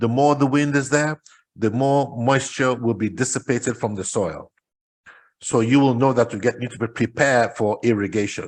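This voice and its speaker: The speech has ordinary pitch variation over a quiet background. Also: man. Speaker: entrepreneur presenting agritech. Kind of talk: presentation talk. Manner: fast.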